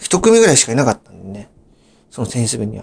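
A man is speaking. His pitch swings very widely. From Japan, Saitama (Gyoda). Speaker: YouTuber. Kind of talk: storytelling monologue. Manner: halting, many fillers.

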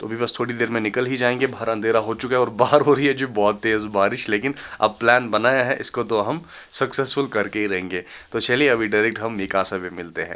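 This man speaks fast in a fairly low voice. His tone is fairly bright and his intonation fairly even.

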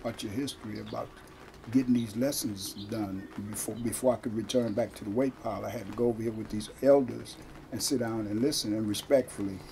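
Light noise sits behind a man with an American accent. He talks at a fairly quick pace with fairly even intonation. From Stockton, California; California. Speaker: former prisoner and activist. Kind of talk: interview. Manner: halting. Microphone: camera far.

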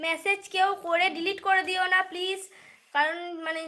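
A woman speaks in a raised, projected voice with a bright, sharp, animated tone. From West Bengal, Bardhaman district. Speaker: live streamer. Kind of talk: casual live stream chat. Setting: livestream at home at night.

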